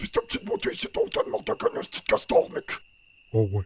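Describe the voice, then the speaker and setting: A raspy, cartoonish character voice at a fairly quick pace. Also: man. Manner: loud, exclamatory.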